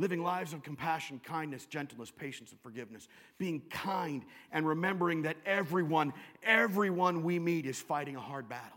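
A man with an American accent and a normal speaking voice talks at a fairly quick pace, his pitch varying in an ordinary way and his loudness swinging widely. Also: fairly high pitch for a man. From US Pacific Northwest (Western Washington). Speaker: pastor. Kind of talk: sermon.

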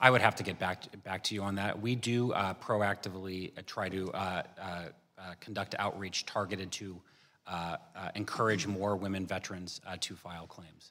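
A man's fairly low voice, flat and monotone, at a moderate pace with hardly any pauses and big swings in loudness, on a very clean recording with a silent background. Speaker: government benefits official. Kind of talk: congressional testimony.

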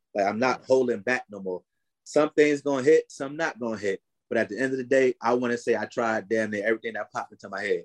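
A man with an American accent talks very fast, his medium pitch holding fairly even intonation. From North New Jersey. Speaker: rap artist manager and entrepreneur. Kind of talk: casual interview.

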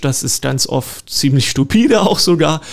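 A man is speaking here. His voice sits fairly high in pitch. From Lusatia, eastern Saxony (Görlitz, Horka). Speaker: park director and garden historian. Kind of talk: radio interview. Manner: hesitant, many fillers.

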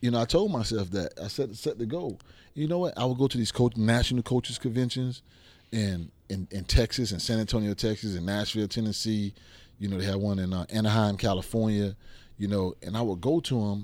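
The recording is very clean, with a silent background. A man talks at a fairly quick pace in a fairly low pitch with ordinary pitch variation. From Miami, Liberty City, Florida. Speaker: football coach, former NFL player. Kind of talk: casual interview. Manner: animated.

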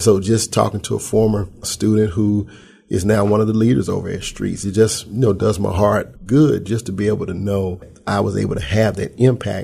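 Man, fairly low pitch, somewhat breathy, dark and mellow in tone. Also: fairly even intonation, moderate pace. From Memphis, Tennessee. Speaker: pastor and youth ministry worker. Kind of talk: interview conversation.

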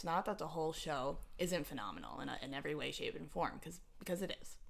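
Talking at a very fast pace, a woman with a fairly low pitch uses lively intonation and big swings in loudness. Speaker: podcast host. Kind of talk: casual chat. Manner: fast talker; excitable.

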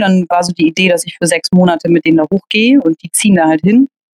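Speech with lively intonation comes at a very fast pace in a dry, close sound with no echo. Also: woman. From Hamburg, northern Germany. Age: 30s. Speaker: table football player and organizer. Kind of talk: interview, casual chat. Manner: hesitant, many filler sounds.

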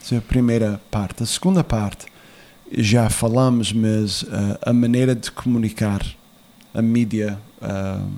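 A man at medium pitch, fairly slow in pace, with fairly even intonation. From USA, Portuguese immigrant family. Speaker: former political adviser. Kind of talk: interview. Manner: halting.

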